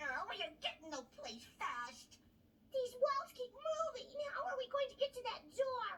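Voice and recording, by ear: This cartoonish character voice has an extremely high pitch and a moderate pace.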